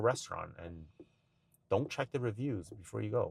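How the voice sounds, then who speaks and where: A man's fairly low, somewhat breathy voice at a fairly quick pace, in a very clean recording with a silent background. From China. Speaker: podcast guest, father. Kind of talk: casual podcast conversation.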